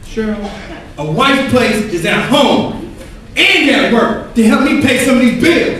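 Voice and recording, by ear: An extremely high put-on character voice from a man, fairly bright in tone, with lively intonation, a fairly slow pace and strong room echo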